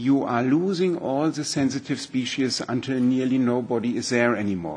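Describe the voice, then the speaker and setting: A man with a German accent, fairly high in pitch, at a moderate pace with ordinary pitch variation. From Germany. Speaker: environmental scientist. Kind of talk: expert presentation at a hearing. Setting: parliament hearing room. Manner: halting, many fillers.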